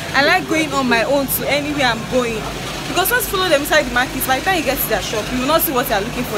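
Music plays in the background as a woman speaks at a very fast pace. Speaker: lifestyle vlogger. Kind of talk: casual vlog chat. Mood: wary, mildly complaining. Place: market. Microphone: phone near.

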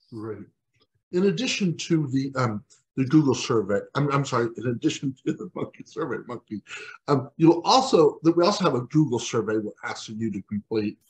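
Against a quiet background, a man with an American accent speaks at a moderate pace, somewhat breathy, with lively intonation. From Texas. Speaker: webinar host for aging services agency; webinar host. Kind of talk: webinar moderation and announcements. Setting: video call. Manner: halting, many fillers. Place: home room. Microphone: video call.

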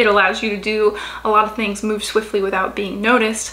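At a moderate pace, a woman with a fairly high pitch speaks in a flat monotone. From Louisiana, US South. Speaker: book youtuber. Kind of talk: casual vlog talk to camera. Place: home room. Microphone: phone near.

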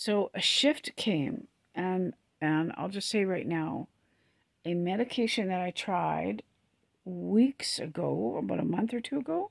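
A woman's fairly low voice with a slightly husky edge and vocal fry, in a dry, close sound with no echo

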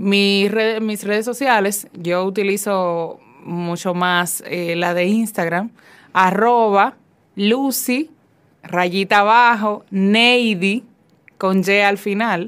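Very slowly, a woman talks at a medium pitch. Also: fairly even intonation, quiet background. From Dominican Republic. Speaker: fiction writer; guest. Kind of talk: interview. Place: studio.

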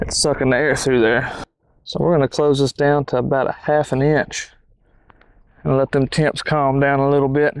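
A man speaks at a fairly quick pace in a flat monotone. The sound is dry with no echo, over a quiet background. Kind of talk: tutorial. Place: garden. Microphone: lapel.

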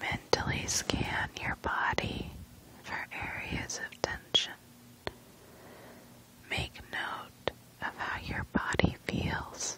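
Whispering, a woman speaks calmly at a very slow pace with long, frequent pauses and big swings in loudness. Noticeable background noise runs underneath. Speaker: ASMR creator. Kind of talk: guided sleep relaxation. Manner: whispered; slow, calm.

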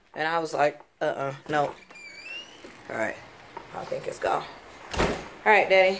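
Noticeable background noise sits behind a woman with a fairly low voice. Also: ordinary pitch variation, moderate pace. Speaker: vlogger. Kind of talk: casual vlog chat. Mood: relaxed, slightly rushed.

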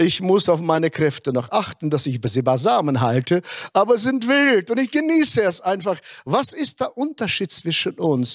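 A man's high voice at a moderate pace, with very wide pitch swings, dry sound with no echo and a quiet background. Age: 60s. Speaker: pastor. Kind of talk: sermon. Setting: online conference. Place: stage. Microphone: handheld.

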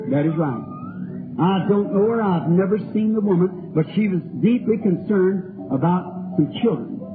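High-pitched man with a Kentucky accent, ordinary pitch variation and a moderate pace, music in the background. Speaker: healing evangelist. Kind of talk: sermon prayer line. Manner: folksy.

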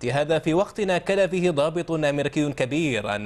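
Ordinary pitch variation runs through a man's plain, everyday voice. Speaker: news anchor. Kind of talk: news reading. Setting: studio. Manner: formal, measured, steady broadcast delivery.

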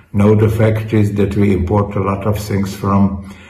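A man with a Hungarian accent speaks at a fairly low pitch. Audible room echo and light background noise are present. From Hungary. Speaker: politician, party president. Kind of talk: interview answer. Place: office.

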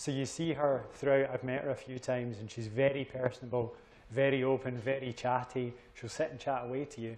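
Delivering lines at a fairly quick pace, a man speaks with monotone, flat intonation and big swings in loudness. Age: young. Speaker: portfolio manager. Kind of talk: panel discussion. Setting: live event with audience. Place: hall.

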